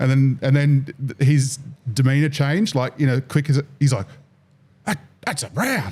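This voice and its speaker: A man in an Australian accent sounds somewhat breathy, his fairly high pitch showing ordinary variation. He speaks with long, frequent pauses. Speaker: fishing podcast host. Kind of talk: casual chat. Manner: fast; animated.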